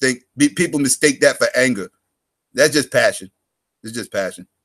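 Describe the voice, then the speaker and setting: A man speaks in an animated tone. His voice sounds dry and close, with no echo. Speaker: live stream host. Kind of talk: casual chat. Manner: loud.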